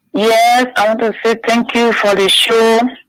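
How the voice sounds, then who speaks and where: This woman's voice is fairly high. Her intonation is fairly even. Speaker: caller. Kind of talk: radio call-in. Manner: subdued.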